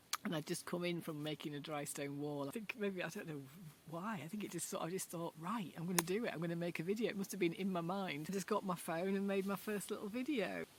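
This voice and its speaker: A woman with a fairly low pitch, a strong Yorkshire accent and a very fast pace. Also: ordinary pitch variation. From Yorkshire, northern England. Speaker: video blogger. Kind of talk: casual chat. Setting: outdoors in a garden. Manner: conversational, unscripted.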